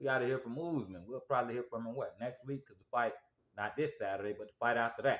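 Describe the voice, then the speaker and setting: Talking at a very fast pace, a man uses a medium-pitched voice with ordinary pitch variation. His loudness swings a lot. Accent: Southern US. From US South. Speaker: sports commentator. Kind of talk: casual monologue. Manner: animated.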